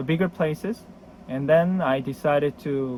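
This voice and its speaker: A man speaks with a Korean accent. His pitch is fairly high, and his pace is fairly slow. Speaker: board game collector. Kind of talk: casual video introduction. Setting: storage room. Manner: halting.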